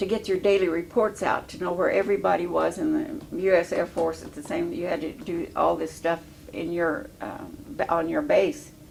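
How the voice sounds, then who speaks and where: There is noticeable background noise as a woman speaks at a moderate pace. She barely pauses, and her loudness swings widely. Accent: American. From Illinois. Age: 80s+. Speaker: war veteran. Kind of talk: oral history interview. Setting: veterans home. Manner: halting.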